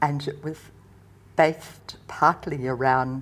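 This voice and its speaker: Her very deep, low voice carries fairly even intonation as the woman speaks. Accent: Australian. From Western Australia, Perth. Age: 80s+. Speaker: retired nurse and counsellor. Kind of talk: interview, personal memories.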